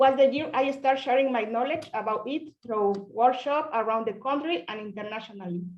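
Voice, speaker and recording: Her intonation lively, a woman with a Spanish accent speaks at a high pitch and a moderate pace. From Mexico (Oaxaca). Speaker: pinhole photographer. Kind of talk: presentation on video call. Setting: video call.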